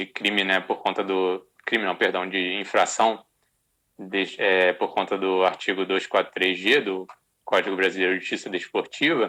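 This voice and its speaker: A moderate pace with monotone, flat intonation. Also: man, very deep, low pitch for a man. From Rio de Janeiro, Brazil. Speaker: sports lawyer. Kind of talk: interview. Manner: halting, many repetitions.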